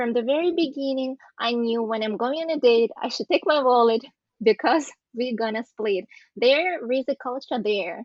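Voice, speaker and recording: A woman's high-pitched voice moves at a moderate speed, its pitch varying in an ordinary way. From Eastern Europe. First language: an Eastern European language. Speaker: podcast guest. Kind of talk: casual group discussion. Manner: halting.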